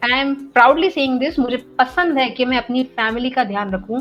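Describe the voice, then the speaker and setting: Ordinary pitch variation at a moderate speed, with noticeable background noise behind it. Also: woman. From central India, Gwalior. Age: young. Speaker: meditator and content creator. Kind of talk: casual podcast conversation. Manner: hesitant fillers, many 'you know'.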